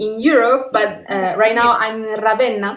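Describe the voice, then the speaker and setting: The speech goes at a fairly slow pace. There is audible room echo. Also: woman. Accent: Italian. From northern Italy, Turin. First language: Italian. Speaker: podcast host. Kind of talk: interview. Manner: halting.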